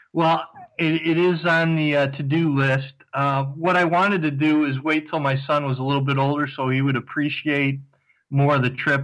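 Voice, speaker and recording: On a very clean recording with a silent background, a man speaks at a moderate pace in a fairly high, monotone, flat voice. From US Ohio, Cleveland. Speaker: overseas fan guest. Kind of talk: casual interview.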